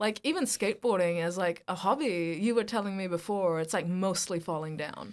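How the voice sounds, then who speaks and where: In a New Zealand accent, a woman speaks at medium pitch and a fairly quick pace with hardly any pauses. The recording is very clean, the background silent. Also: ordinary pitch variation. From India, raised in Hamilton, New Zealand. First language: Hindi. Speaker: actor and podcast co-host. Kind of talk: casual chat. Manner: animated.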